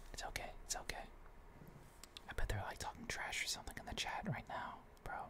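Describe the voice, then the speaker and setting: Whispering at a fairly quick pace, broken by long, frequent pauses. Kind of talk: ASMR gaming ramble to camera; casual talk to camera. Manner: casual, chatty.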